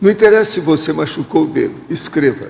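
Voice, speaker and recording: A man with ordinary pitch variation, amid noticeable background noise and audible room echo. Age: 80s. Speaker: lecturer. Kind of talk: lecture with audience questions.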